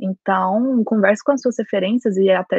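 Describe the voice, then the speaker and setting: An unremarkable speaking voice from a woman at a medium pitch, with fairly even intonation and a moderate pace. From Brazil, Goiás. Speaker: lawyer and master's student. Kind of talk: casual chat.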